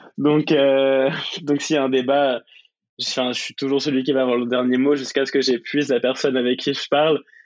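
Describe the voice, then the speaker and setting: Monotone and flat, a man speaks at a moderate pace and medium pitch. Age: 20s. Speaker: student and UX designer. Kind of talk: interview. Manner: hesitant, many fillers.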